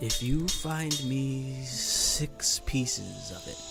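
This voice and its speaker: Over loud music in the background, a put-on character voice at a low-to-middle pitch moves at a very slow pace. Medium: video game. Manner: formal, measured.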